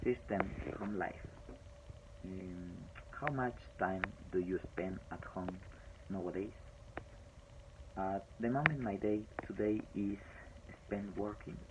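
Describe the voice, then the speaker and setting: A man with a Spanish accent speaks at a fairly low pitch with ordinary pitch variation. His pace is very slow, marked by long, frequent pauses. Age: 40s. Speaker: language student. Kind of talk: speaking homework presentation. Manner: halting.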